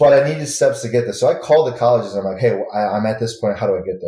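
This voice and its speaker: With an American accent, a man talks at a very fast pace in a dark, mellow, somewhat breathy tone with ordinary pitch variation. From Michigan, Grand Rapids. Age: 30s. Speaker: martial arts instructor. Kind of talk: casual chat.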